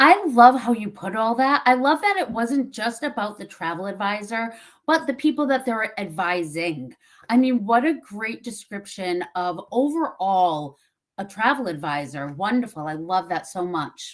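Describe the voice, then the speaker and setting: With a Massachusetts accent, a woman speaks at a fairly high pitch that swings very widely, in a very clean recording with a silent background. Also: moderate pace. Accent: Massachusetts accent, drops R's and T's. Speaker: webinar host. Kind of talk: interview.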